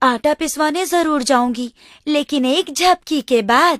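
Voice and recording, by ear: Using a cartoonish character voice, a woman speaks at a high pitch and a fairly slow pace with ordinary pitch variation, in a dry, close sound with no echo.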